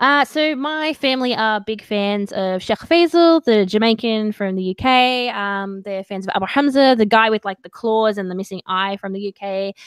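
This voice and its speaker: Spoken at a moderate pace with hardly any pauses, this voice has an Australian accent and ordinary pitch variation. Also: woman, fairly high pitch for a woman. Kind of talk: casual live video chat interview. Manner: animated.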